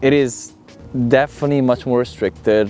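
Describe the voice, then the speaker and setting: With music playing in the background, a man talks in an Italian accent. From Italy. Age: 20s. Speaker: model and social media creator. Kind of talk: interview answer. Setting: outdoors.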